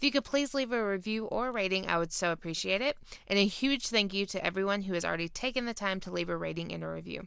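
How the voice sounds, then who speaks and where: On a very clean recording with a silent background, a woman speaks at a very fast pace in a Southern US accent. Her voice is medium-pitched with a bright, sharp tone. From Georgia. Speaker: podcast host. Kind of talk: casual interview chat.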